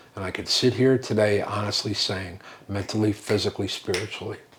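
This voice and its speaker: Fairly even intonation at a fairly quick pace, over noticeable background noise. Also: man. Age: 70s. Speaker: recovering alcoholic sharing his story. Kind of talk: testimony.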